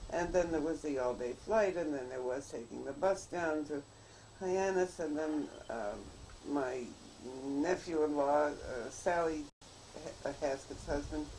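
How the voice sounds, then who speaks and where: There is noticeable background noise behind this woman. Her pitch is very deep and low. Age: 80s+. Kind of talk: casual chat.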